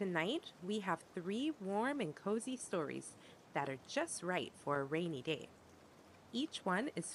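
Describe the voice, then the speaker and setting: Medium in pitch, a woman speaks at a fairly slow pace in a gentle, soothing tone. Her pitch swings very widely. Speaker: storyteller. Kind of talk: bedtime story reading for toddlers.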